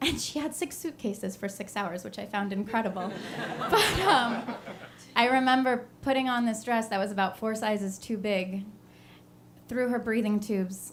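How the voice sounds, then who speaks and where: Noticeable background noise behind a moderate tempo and ordinary pitch variation. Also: woman, fairly high pitch for a woman. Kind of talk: live storytelling performance.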